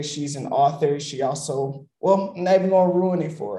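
A man's dark, mellow tone, ordinary pitch variation and moderate pace. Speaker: podcast host. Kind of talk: casual interview. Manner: energetic, upbeat.

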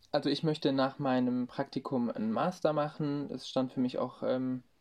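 A man with a fairly high pitch speaks at a moderate pace and with fairly even intonation. The background is quiet. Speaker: marketing intern. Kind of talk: interview. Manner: hesitant, many fillers.

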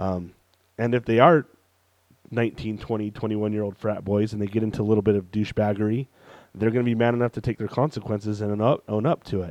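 In a dry, close recording with no echo, a man with a normal speaking voice talks at a fairly quick pace, his fairly low pitch held to a fairly even intonation. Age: 30s. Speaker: podcast co-host. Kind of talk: casual chat.

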